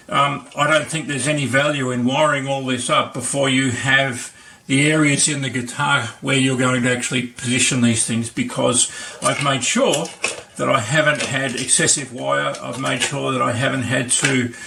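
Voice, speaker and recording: A man with an Australian accent at a medium pitch and moderate pace, monotone and flat in intonation, amid audible room echo and noticeable background noise. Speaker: maker and video tutor. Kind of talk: tutorial. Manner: halting, many fillers.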